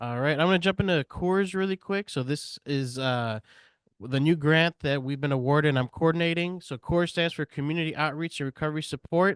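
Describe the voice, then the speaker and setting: A man talks at a fairly quick pace in an ordinary speaking voice, pitched fairly high. His pitch varies in an ordinary way over a quiet background. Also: dry, close sound with no echo. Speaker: peer support coordinator. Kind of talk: presentation at a meeting. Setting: meeting room with audience and Zoom.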